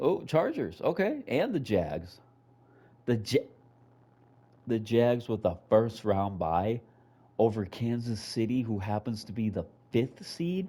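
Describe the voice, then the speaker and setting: A man at a very slow pace with long, frequent pauses, a medium pitch, lively intonation and a dark, mellow tone. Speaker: video game streamer. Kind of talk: gameplay commentary. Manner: slurred speech.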